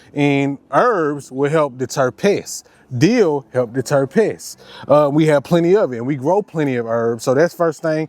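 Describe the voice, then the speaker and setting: A man speaks in a plain, everyday voice, fairly high in pitch, at a moderate pace with ordinary pitch variation. The sound is dry and close with no echo. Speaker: homesteader vlogger. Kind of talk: casual vlog tutorial.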